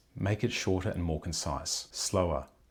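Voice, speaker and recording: The voice sounds somewhat breathy in a very clean recording with a silent background. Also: man. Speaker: speaking coach. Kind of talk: tutorial. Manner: fast.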